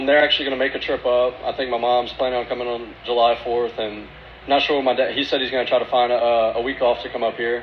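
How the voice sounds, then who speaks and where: Over noticeable background noise, a man with a Louisiana accent speaks at a very fast pace and a medium pitch in a monotone, flat intonation. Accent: Cajun Louisiana. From Louisiana, USA.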